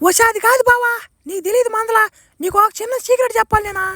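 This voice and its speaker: In a cartoonish character voice, a woman speaks at an extremely high pitch with fairly even intonation and a fairly quick pace, the sound dry and close with no echo. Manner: earnest, insistent.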